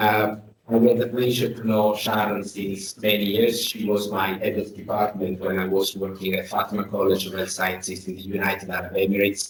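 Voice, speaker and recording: A man's fairly low voice, monotone and flat, at a fairly quick pace with hardly any pauses, over noticeable background noise. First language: Italian. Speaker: academic host. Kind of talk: formal introduction. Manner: halting.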